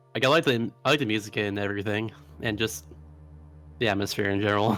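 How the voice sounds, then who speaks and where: Music plays behind a man speaking at a very fast pace. His voice sits fairly low, with ordinary pitch variation. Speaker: speedrunner commentating his own run. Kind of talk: live gameplay commentary.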